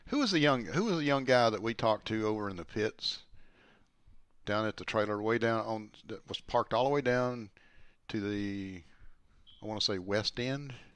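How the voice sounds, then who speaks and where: Medium pitch from a man at a moderate pace, ordinary pitch variation, long, frequent pauses, and a quiet background. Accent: strong Southern US. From US South, Alabama. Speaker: former sprint car driver, racing commentator. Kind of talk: casual chat.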